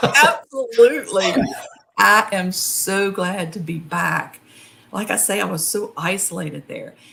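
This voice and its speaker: A woman in a strong West Virginia accent, medium in pitch, fairly slow, with lively intonation. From West Virginia, Appalachia. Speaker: horror author. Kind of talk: interview.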